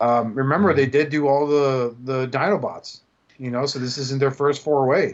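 A man with an American accent has a plain, everyday voice at a fairly high pitch. He keeps a moderate pace and fairly even intonation. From US, Cuban American household. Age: 40s. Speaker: podcast host. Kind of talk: casual chat.

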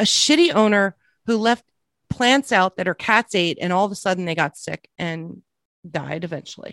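With a dry, close sound and no echo, a woman with an unremarkable speaking voice talks at a moderate pace and medium pitch using lively intonation. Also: very clean recording, silent background. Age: 40s. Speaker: podcast co-host. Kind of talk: casual commentary podcast chat.

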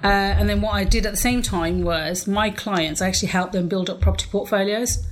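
A woman talks at a fairly quick pace with an English accent. Noticeable background noise and audible room echo fill the recording. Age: 40s. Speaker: property investor. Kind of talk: interview.

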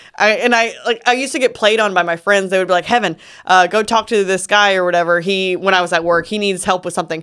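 Talking at a very fast pace with hardly any pauses, a woman with a Southern US accent keeps a medium pitch and ordinary pitch variation. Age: 30s. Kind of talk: casual chat.

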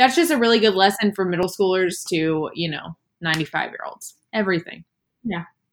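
A woman with a plain, everyday voice speaks at a fairly quick pace and a medium pitch, using ordinary pitch variation. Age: 20s. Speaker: podcast guest, host's best friend. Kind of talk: casual chat.

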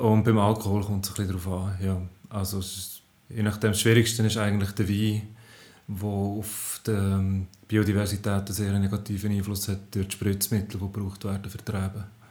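A man speaks at a moderate pace with a fairly low pitch. His voice is somewhat breathy, and his intonation is monotone and flat. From Switzerland, Aargau (Zofingen region). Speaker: science journalist. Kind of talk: casual chat. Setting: home kitchen. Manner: halting.

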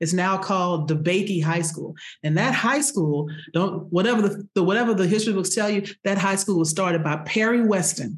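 At a fairly quick pace, a woman with an American accent speaks at medium pitch, somewhat breathy, with ordinary pitch variation and very even loudness. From Houston, Texas. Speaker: diversity consultant. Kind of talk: casual chat.

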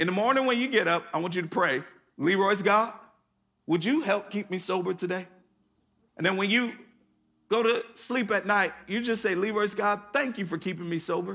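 A high-pitched man with a raised, projected voice, moderate pace and long, frequent pauses. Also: ordinary pitch variation. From US Northeast, Connecticut. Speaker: pastor. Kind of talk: sermon. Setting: church service with live audience.

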